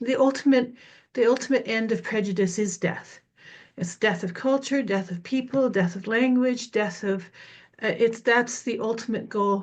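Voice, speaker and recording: Against a quiet background, a woman talks in a fairly high pitch, somewhat breathy. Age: 60s. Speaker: meeting participant. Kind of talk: group discussion sharing. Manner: halting, many fillers.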